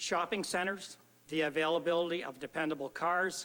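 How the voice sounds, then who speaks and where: An ordinary speaking voice with a Canadian accent. The pace is fairly quick, with ordinary pitch variation. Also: man. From Ontario, Canada (Lambton County). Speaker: local historian presenting to council. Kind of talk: reading aloud; personal anecdote.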